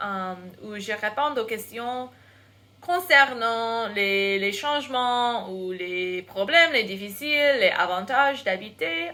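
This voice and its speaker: A woman with an American accent speaks very slowly in a fairly high, bright, sharp voice. Her intonation is lively. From United States. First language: English (speaking French). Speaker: English teacher and vlogger. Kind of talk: casual vlog. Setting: bedroom. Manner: halting, many hesitations.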